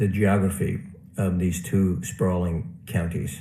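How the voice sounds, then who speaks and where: Audible room echo surrounds a man as he talks. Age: 70s. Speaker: award honoree, housing professional. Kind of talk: acceptance speech.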